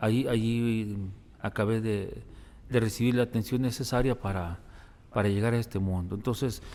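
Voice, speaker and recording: This man has a medium pitch and a dark, mellow tone, keeping his intonation fairly even. He moves at a moderate pace with long, frequent pauses. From Mexico, Guadalajara (Zapopan). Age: 60s. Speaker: priest, hospital chaplain. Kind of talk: interview testimony.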